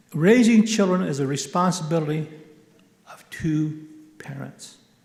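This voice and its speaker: Audible room echo surrounds a man who talks at a fairly slow pace in a fairly high pitch with ordinary pitch variation. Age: 60s. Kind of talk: conference keynote talk. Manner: animated.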